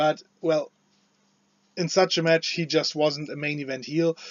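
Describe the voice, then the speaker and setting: This man speaks with a non-native accent and a high pitch. His pace is moderate. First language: not English. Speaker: wrestling commentator / video creator. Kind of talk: casual opinion commentary. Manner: halting, many fillers and restarts.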